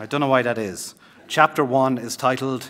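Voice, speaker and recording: With an Irish accent, a man speaks at a medium pitch in a bright, sharp tone. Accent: Irish accent, his own. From Ireland, Limerick and Cork. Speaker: novelist. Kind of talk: author reading and talk. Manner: repeats words, hesitant.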